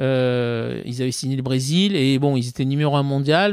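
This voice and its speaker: This man has a medium pitch with ordinary pitch variation. His pace is moderate. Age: 50s. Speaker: former tennis player and sports marketing executive. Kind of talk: podcast interview. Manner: hesitant, many fillers.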